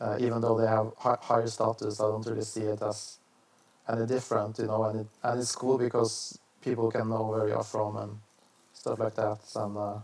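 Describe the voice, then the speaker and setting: A man's medium-pitched voice with a Norwegian accent, monotone and flat at a moderate pace, over noticeable background noise. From Norway. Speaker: vlogger. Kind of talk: casual monologue. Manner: halting, many fillers and restarts.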